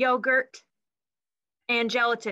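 Raised and projected, a woman's voice comes through with a bright, sharp tone. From Pennsylvania (Pittsburgh, later Harrisburg). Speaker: TV news reporter. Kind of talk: casual chat. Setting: video call.

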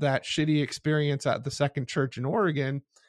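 This man has an ordinary speaking voice with a fairly high pitch and an American accent, and his intonation is fairly even. The sound is dry and close with no echo, against a quiet background. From West Michigan, US. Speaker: church small-group ministry worker. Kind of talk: podcast interview, personal testimony.

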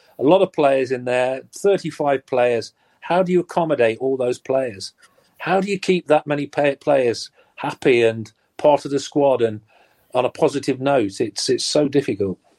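Captured in a dry, close sound with no echo, a man with an East Midlands accent and a fairly high pitch speaks at a moderate pace with ordinary pitch variation. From Nottingham, England. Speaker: former footballer and pundit. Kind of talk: casual chat.

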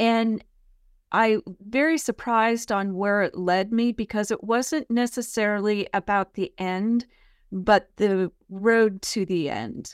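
Very slow speech from a woman with an American accent, on a very clean recording with a silent background and a dry, close sound with no echo. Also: fairly high pitch for a woman, ordinary pitch variation. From California, San Francisco Bay Area. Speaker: history professor. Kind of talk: interview.

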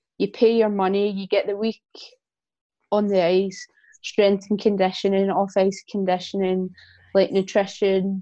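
A woman with a Scottish accent speaks at a moderate pace in a medium pitch, her dark, mellow tone delivered with monotone, flat intonation against a quiet background. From Scotland. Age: 20s. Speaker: hockey player and influencer. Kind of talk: casual interview chat. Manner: trying to speak proper, more formal than usual.

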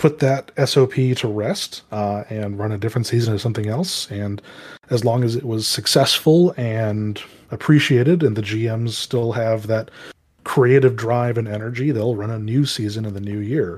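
A man with an American accent speaks in a normal speaking voice at a medium pitch, moderate pace and ordinary pitch variation. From US, rural town. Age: 30s. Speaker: educator and game master. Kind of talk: casual interview chat.

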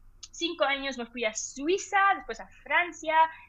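A woman projects a raised voice with a bright, sharp tone, speaking at a fairly slow pace with lively intonation. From international upbringing, oil-industry family moving every few years. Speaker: entrepreneur and social media creator. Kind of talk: casual interview chat. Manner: hesitant, many fillers.

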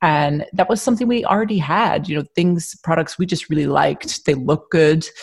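Very deep and low for a woman, this voice carries vocal fry and lively intonation, with an American accent. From US, Michigan and Philadelphia. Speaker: shop owner. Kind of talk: interview.

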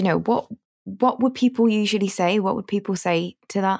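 This is an unremarkable speaking voice with ordinary pitch variation. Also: woman. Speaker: podcast interviewer. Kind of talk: interview.

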